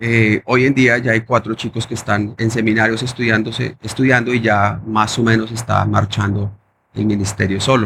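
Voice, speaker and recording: This man talks at a moderate pace in a medium pitch, his intonation monotone and flat, with vocal fry. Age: 30s. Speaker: pastor. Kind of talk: testimony. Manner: halting.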